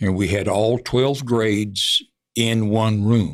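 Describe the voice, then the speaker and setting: With a Texan accent, a man speaks at a fairly low pitch with ordinary pitch variation in a very clean recording with a silent background. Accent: Texan Southern. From Texas, Hunt County (northeast Texas). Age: 80s+. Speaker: veteran broadcaster. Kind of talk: interview.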